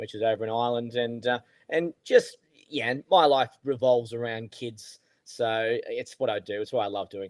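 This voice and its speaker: Speaking with an Australian accent at a moderate pace, a man keeps a medium pitch and fairly even intonation. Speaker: golf coach, podcast co-host. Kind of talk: casual podcast chat.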